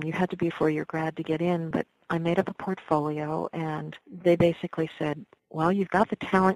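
With an unremarkable speaking voice, a woman talks at a moderate pace in a fairly low pitch with fairly even intonation, the sound dry and close with no echo. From New York (Westchester area). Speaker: folk singer. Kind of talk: interview.

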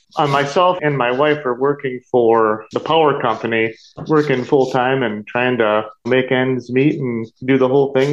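A man speaks at a moderate pace in a medium-pitched voice with ordinary pitch variation. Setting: video call.

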